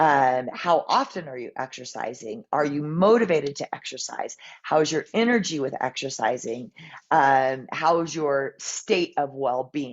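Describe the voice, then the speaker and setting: Lively intonation and big swings in loudness mark this woman's fairly slow speech, pitched very deep and low. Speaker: health coach. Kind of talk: health talk to audience.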